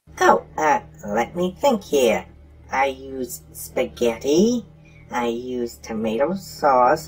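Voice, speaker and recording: In a put-on character voice at a low-to-middle pitch, the speaker is heard over clear background noise. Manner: proud, deliberate.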